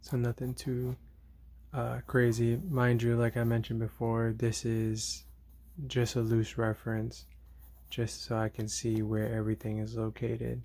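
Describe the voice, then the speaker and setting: A soft-spoken man talks at a fairly slow pace on a very clean recording with a silent background. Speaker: artist drawing on camera. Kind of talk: drawing tutorial commentary. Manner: hesitant, many fillers.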